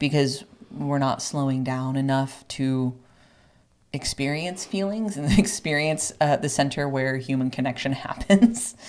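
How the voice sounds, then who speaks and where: A woman with a very deep, low pitch speaks at a fairly slow pace with lively intonation. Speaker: podcast co-host. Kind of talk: casual educational discussion. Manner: loud; hesitant, many fillers.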